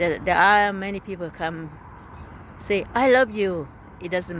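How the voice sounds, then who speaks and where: The voice has ordinary pitch variation. Noticeable background noise is present. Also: woman. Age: 60s. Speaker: YouTuber and businessperson. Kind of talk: casual vlog monologue. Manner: conversational, frequent filler phrases.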